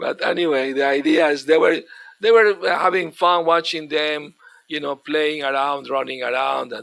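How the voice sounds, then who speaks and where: At a moderate pace, a man talks with a non-native accent. His pitch is fairly high with ordinary variation. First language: not English. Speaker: spiritual teacher. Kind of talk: religious lecture. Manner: halting.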